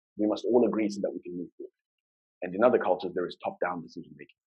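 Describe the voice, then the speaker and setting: A man with a Zimbabwean accent talks at a very fast pace. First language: Shona. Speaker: UX design lead, conference speaker. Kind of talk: conference talk. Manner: fast when excited.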